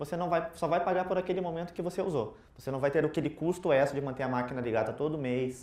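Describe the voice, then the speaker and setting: Speaking in a Curitiba accent at a very fast pace with hardly any pauses and ordinary pitch variation, the voice comes through noticeable background noise and audible room echo. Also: man, fairly high pitch for a man. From southern Brazil, Curitiba. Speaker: IT consultant, conference speaker. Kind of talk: tech conference talk. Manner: casual, interactive.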